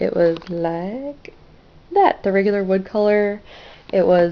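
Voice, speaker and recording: A woman speaks in a plain, everyday voice at a medium pitch with fairly even intonation. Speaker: crafting vlogger. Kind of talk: casual vlog.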